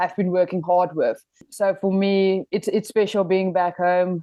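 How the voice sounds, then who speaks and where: A woman speaks in a South African accent at medium pitch. Her delivery is fairly slow and monotone, with flat intonation. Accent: Afrikaans South African English. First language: Afrikaans. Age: 20s. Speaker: professional rugby player. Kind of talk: podcast interview.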